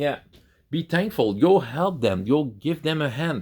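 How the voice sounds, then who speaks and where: A man with a Quebec accent, fairly high-pitched, with vocal fry, very wide pitch swings and a fairly slow pace. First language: French. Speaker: YouTuber on tabletop role-playing games. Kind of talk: casual talk to camera. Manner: halting, many repeated words and fillers.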